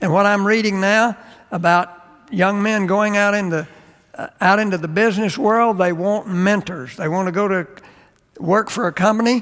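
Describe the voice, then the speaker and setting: Speaking at a high pitch for a man, he keeps his intonation fairly even. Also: moderate pace. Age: 70s. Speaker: seminary professor and chapel speaker. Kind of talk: chapel sermon with personal stories. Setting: seminary chapel.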